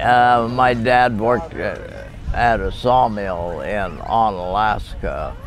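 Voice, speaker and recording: A man with a Pacific Northwest accent speaks very slowly. There is audible room echo and noticeable background noise. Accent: rural Pacific Northwest American. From Washington State, Lewis County. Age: 90s. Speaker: retired logger. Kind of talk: oral history interview. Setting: family reunion. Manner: halting, many fillers.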